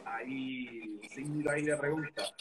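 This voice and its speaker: A man talks with a Puerto Rican accent at a fairly high pitch. His intonation stays fairly even. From Puerto Rico, Orocovis. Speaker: Instagram live interviewer. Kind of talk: casual live-stream interview. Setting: online live stream.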